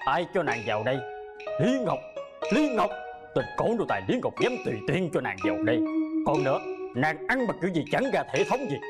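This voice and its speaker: A man puts on a character voice, pitched fairly high for a man. He moves at a fairly quick pace while clear music plays in the background. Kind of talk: archaic, courtly. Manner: dubbed period drama voice.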